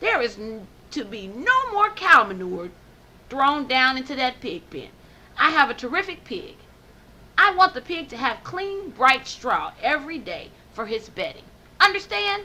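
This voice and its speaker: Using a put-on character voice, a woman speaks high with very wide pitch swings at a moderate pace, leaving long, frequent pauses. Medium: read story.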